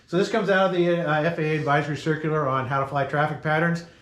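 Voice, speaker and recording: Audible room echo and a fairly quick pace. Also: man. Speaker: safety presenter, glider pilot. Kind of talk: safety briefing presentation. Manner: fast.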